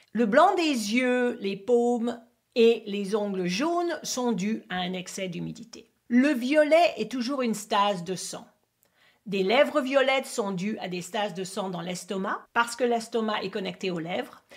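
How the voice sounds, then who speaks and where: In an English accent, a woman speaks at a fairly slow pace, her fairly high pitch carried by lively intonation. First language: English (speaking French). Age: 50s. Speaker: acupuncturist and teacher. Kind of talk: tutorial. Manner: halting, non-native French.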